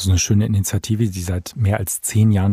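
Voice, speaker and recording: Dry and close with no echo, a man's somewhat breathy, fairly low voice has a dark, mellow tone and moves at a fairly quick pace. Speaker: foundation managing director. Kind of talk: interview. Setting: studio.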